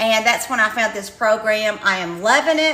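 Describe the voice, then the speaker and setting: A woman with a slight Kentucky accent raises and projects her voice in an animated tone with lively intonation. Audible room echo surrounds her. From eastern Kentucky. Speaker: retired teacher promoting online income program. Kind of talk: livestream sales pitch. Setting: live stream.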